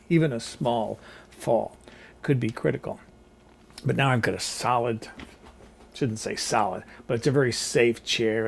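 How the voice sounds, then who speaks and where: Fairly even intonation carries the words along at a moderate pace. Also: man. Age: 60s. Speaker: cooking vlogger. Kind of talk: casual vlog monologue. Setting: seated in a rolling chair at home.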